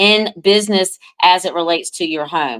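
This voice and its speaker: This woman has a normal speaking voice at medium pitch, with ordinary pitch variation and a moderate pace, in a very clean recording with a silent background. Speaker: astrologer. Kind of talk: live astrology forecast talk. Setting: live stream.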